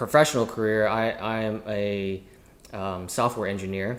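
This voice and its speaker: With an American accent, a man talks at a fairly slow pace in a plain, everyday voice, his pitch fairly low. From US South. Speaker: chef and entrepreneur. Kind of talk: casual chat.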